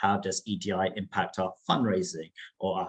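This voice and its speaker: A man talks with a somewhat breathy voice. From first-generation immigrant, grew up in Whitechapel, London. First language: not English. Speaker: charity trustee. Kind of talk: panel discussion. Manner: hesitant, many fillers and repetitions.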